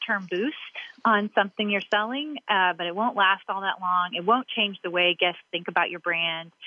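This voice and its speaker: Pitch varies in an ordinary way, and the delivery keeps a moderate pace. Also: woman. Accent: Southern. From Kentucky, Louisville. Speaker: restaurant marketing executive. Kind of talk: interview.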